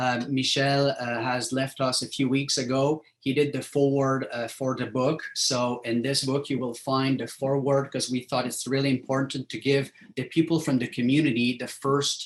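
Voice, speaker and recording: In a strong French accent, the speaker delivers flat, monotone intonation at a moderate pace with hardly any pauses. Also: man, medium pitch for a man. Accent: thick French. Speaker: professor. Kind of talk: lecture. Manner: halting, many fillers.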